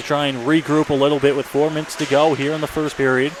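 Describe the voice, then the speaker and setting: A man talks at a very fast pace, his pitch fairly high. Noticeable background noise sits behind him. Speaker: radio play-by-play announcer. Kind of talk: live hockey play-by-play commentary. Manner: fast, energetic.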